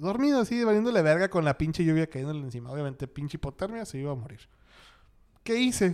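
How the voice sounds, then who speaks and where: This man's dark, mellow tone comes through at a very fast pace. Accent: Mexican. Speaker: podcast host. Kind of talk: casual chat.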